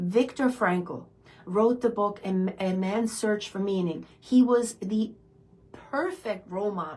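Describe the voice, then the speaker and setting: A woman with a non-native accent speaks at a very slow pace and a medium pitch. Her pitch varies in an ordinary way, with noticeable background noise behind her. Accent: foreign. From immigrant, foreign-born. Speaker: self-development coach, hypnotherapist. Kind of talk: motivational talk. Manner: animated.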